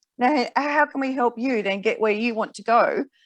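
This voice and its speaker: The speaker has an Australian accent and a fairly quick pace. Pitch variation is ordinary. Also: woman. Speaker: finance broker. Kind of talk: interview. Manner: fast.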